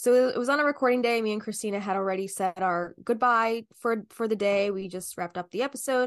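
A woman with a slight New Jersey accent, dry and close with no echo, over a quiet background. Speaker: podcast host. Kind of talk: casual chat.

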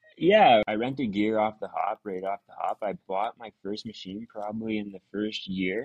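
With an Ontario accent, a man speaks at a moderate pace and a fairly low pitch, with fairly even intonation, hardly any pauses and big swings in loudness. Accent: Canadian (Ontario). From Ontario, Canada. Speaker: excavation business owner. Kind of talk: casual interview chat. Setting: remote video call.

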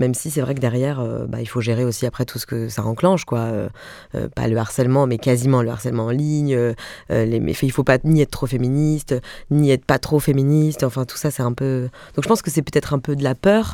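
Speaking fairly quickly, a woman uses a very deep, low voice on a very clean recording with a silent background. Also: ordinary pitch variation. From Alsace, Mulhouse. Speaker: comedian and actress. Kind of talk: interview conversation. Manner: animated.

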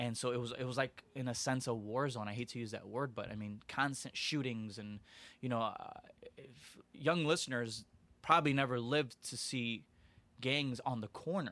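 Here is an unremarkable speaking voice: a man at a medium pitch with an American accent, moderate pace and ordinary pitch variation. His loudness swings a lot, while the recording is very clean with a silent background. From Aurora, Illinois, US Midwest. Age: 30s. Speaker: youth services worker. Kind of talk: interview. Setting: studio.

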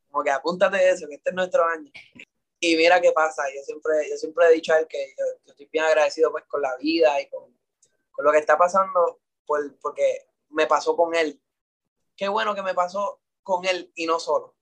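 The man's voice is high-pitched, with fairly even intonation and big swings in loudness. He leaves long, frequent pauses. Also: moderate pace. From Puerto Rico. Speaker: singer. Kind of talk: interview. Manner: halting.

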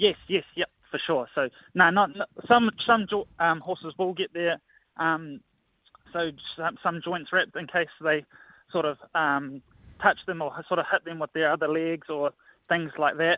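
With a New Zealand accent, a man talks at a high pitch and a fairly slow pace, his intonation fairly even and his pauses long and frequent. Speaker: assistant horse trainer. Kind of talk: casual interview.

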